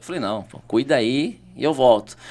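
This is a man speaking at medium pitch. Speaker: city councillor and teacher. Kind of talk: podcast interview. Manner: animated.

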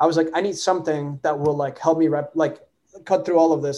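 A man with a fairly high pitch speaks at a very fast pace. His tone is dark and mellow. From Latin America. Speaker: AI researcher and startup founder. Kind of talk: interview.

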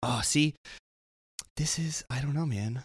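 The recording is dry and close with no echo. A man speaks at a fairly slow pace with lively intonation. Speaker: hockey podcast co-host. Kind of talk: casual chat. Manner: stumbling over words.

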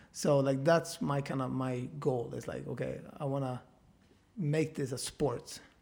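A man's somewhat breathy voice, fairly high in pitch, fairly slow, with fairly even intonation. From small town in Sweden. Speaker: DJ and producer. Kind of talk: casual interview.

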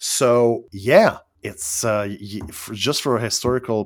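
A man with a Quebec accent on a very clean recording with a silent background. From Quebec, Canada. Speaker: online community member, former minister. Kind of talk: casual interview chat. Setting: voice chat. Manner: halting, frequent stammered restarts.

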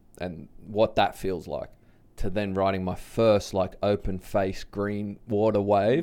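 A man's fairly low voice at a fairly slow pace, fairly even in intonation, on a very clean recording with a silent background. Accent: Australian. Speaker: big wave surfer and public speaker. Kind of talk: casual interview conversation. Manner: casual, laid-back.

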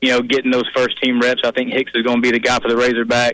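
A man talks in a monotone with flat intonation. The sound is dry and close, with no echo. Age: 30s. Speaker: college football writer. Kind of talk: radio interview. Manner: halting, with fillers and repetitions.

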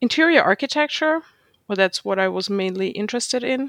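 A woman's medium-pitched voice with a German accent, very cleanly recorded against a silent background, dry and close with no echo. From Germany. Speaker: street photographer. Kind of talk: casual interview conversation.

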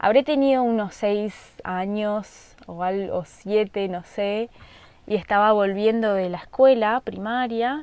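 Her voice is a normal speaking voice, fairly high in pitch for a woman, with ordinary pitch variation. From Argentina, rural Misiones. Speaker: podcast host. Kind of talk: casual monologue. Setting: at home in the countryside.

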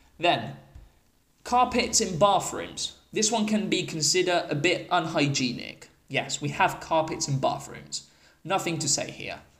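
This man has an English accent and a high pitch for a man. He talks at a fairly slow pace. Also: ordinary pitch variation. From England. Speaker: English teacher and podcast host. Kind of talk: solo podcast monologue. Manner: casual, explanatory.

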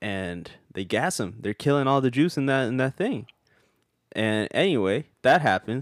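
In a dry, close recording with a silent background and no echo, a man with an unremarkable speaking voice, medium pitch and lively intonation speaks at a moderate pace. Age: 20s. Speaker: podcast co-host. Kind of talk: casual banter, profane comedy chat.

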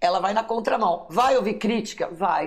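A woman speaks in an ordinary speaking voice at a moderate pace, with fairly high pitch and ordinary pitch variation. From São Paulo city, born in Minas Gerais. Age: 50s. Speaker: writer and teacher. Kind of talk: interview testimony.

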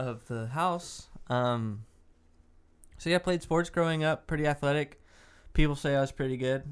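A man with a Texan accent speaks at a moderate pace with ordinary pitch variation and long, frequent pauses on a very clean recording with a silent background. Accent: Texan American. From Dallas, Texas. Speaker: podcast co-host. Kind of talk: casual chat.

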